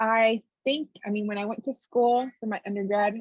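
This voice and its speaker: The speaker has a Spanish accent and keeps the intonation fairly even. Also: woman. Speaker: therapist. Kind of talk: casual interview.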